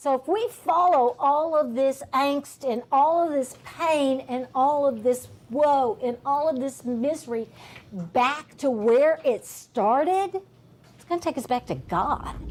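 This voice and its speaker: A woman's high-pitched voice with lively intonation at a very slow pace. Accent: American. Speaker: teacher. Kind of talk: classroom discussion.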